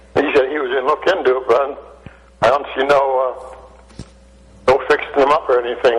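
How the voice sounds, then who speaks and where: A man speaks at a fairly high pitch with monotone, flat intonation. Noticeable background noise sits behind him. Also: moderate pace. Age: 80s+. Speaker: caller. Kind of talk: call-in chat.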